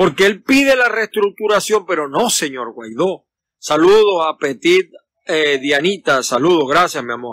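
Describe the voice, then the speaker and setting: With a Venezuelan accent, a man talks at a fairly slow pace in a high voice with very wide pitch swings, the sound dry with no echo against a quiet background. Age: 50s. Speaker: political commentator. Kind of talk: casual live stream. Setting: outdoors in a backyard. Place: garden. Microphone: phone near.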